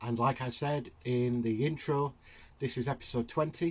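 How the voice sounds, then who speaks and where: Somewhat breathy, a man with a Yorkshire accent speaks at a medium pitch and moderate pace with fairly even intonation. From Yorkshire, England. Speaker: hobby YouTuber, terrain builder. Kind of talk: casual tutorial narration. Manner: halting, many fillers.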